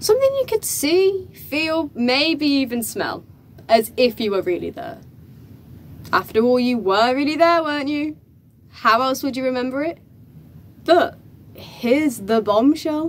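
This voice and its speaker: A woman speaks at a fairly slow pace in a high voice, her pitch swinging very widely, with long, frequent pauses. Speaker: actor performing a stage monologue. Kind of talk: dramatic theatrical monologue, performed in character. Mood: emotional, tearful at times. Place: empty room. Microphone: camera far.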